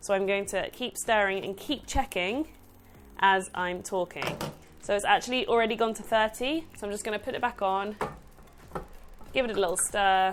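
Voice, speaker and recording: A woman speaks at a medium pitch with ordinary pitch variation and long, frequent pauses. Noticeable background noise runs underneath. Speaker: cake decorator and baking tutor. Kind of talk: tutorial. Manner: fast.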